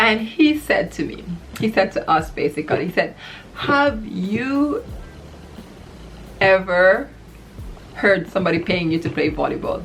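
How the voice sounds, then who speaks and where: Music plays in the background as a woman with a Trinidadian accent speaks at a fairly slow pace, leaving long, frequent pauses. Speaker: volleyball player. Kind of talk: casual talk to camera.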